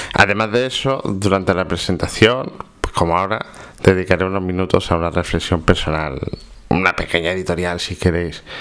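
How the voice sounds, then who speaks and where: Over noticeable background noise, a man speaks with a very deep, low pitch and ordinary pitch variation. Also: fairly quick pace. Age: 30s. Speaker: podcast host, web developer. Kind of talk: casual chat; scripted narration.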